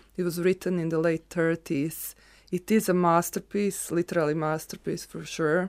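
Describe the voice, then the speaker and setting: With a Croatian accent, a woman with a fairly low pitch talks at a moderate pace and with fairly even intonation over a very clean recording with a silent background. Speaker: photographer. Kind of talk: casual conversation.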